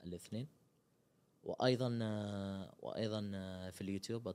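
The intonation in this voice stays fairly even. It belongs to a man with a fairly low pitch. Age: 20s. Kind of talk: interview. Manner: halting, with frequent pauses and fillers.

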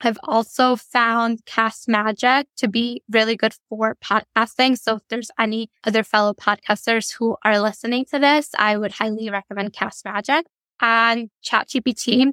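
A woman's fairly high, bright, sharp voice, fairly slow with hardly any pauses and fairly even intonation, dry and close with no echo. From Italy until age 9, then US. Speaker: entrepreneur and podcast host. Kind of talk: interview.

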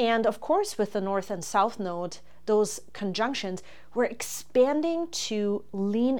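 Speaking in a German accent, a woman talks at a fairly slow pace. Her pitch is medium with ordinary variation. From Germany. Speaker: astrologer and podcast host. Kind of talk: solo podcast monologue. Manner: hesitant, with frequent fillers.

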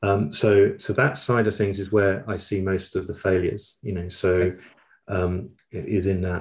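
At a fairly slow pace, a man with a London accent speaks in a fairly low pitch, somewhat breathy, with monotone, flat intonation. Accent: London English, southern British. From South London, England. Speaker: learning industry executive. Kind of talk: interview conversation.

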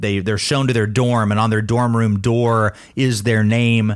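A man talks at a moderate pace in an unremarkable speaking voice, on a very clean recording with a silent background. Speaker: podcast host. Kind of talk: casual banter with topical discussion. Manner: playful, joking.

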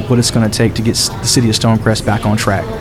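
Over music in the background and audible room echo, a man with an American accent talks in fairly even intonation. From US South, DeKalb County, Georgia. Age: 30s. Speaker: candidate's son. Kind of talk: interview.

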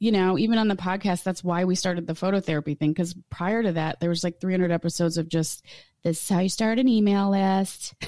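Her tone dark and mellow, a woman speaks at a medium pitch with fairly even intonation. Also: very clean recording, silent background. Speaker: photographer and tarot reader. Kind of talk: casual interview chat.

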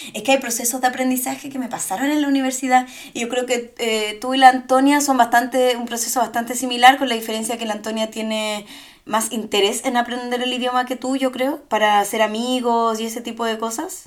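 Someone speaks at a fairly quick pace in a monotone, flat intonation. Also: woman, high pitch for a woman. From Chile. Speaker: podcast co-host. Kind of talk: casual chat.

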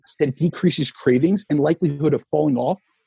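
A man with an American accent talks very fast in a somewhat breathy, dark, mellow voice of fairly high pitch, with ordinary pitch variation and a dry, close sound with no echo. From US Northeast, New Jersey. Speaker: fitness coach. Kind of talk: interview.

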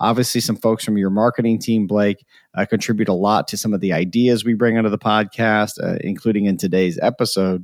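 In a very clean recording with a silent background and a dry, close sound with no echo, a man with an ordinary speaking voice talks at a fairly quick pace, fairly low in pitch and with fairly even intonation. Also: hardly any pauses. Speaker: podcast host and personality psychologist. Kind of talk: casual conversation podcast.

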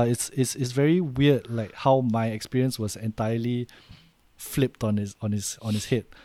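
The sound is dry and close with no echo as a man speaks in a Singaporean accent. He talks at a moderate pace and medium pitch with ordinary pitch variation. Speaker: podcast co-host. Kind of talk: casual chat.

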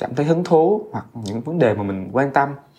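A man's dark, mellow tone carries a fairly high pitch. His pitch swings very widely. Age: 30s. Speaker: podcast host. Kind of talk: casual monologue. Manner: hesitant, many fillers.

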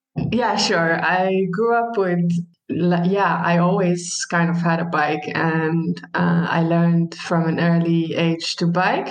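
In an Arabic accent, a woman with a fairly low pitch speaks very slowly, with very even loudness and fairly even intonation, over noticeable background noise. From Palestine. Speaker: social worker. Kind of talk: casual chat. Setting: long-distance call.

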